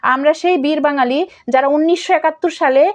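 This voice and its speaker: A woman with a high pitch and ordinary pitch variation talks over a quiet background. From Bangladesh. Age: 30s. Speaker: activist. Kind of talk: speech to online followers. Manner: animated. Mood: earnest, appealing, rhetorical. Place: home room. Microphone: phone near.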